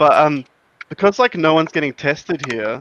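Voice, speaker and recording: A man's moderate-paced speech in a dry, close sound with no echo. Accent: Australian. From Adelaide, South Australia. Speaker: patron caller on live show. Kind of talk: casual chat.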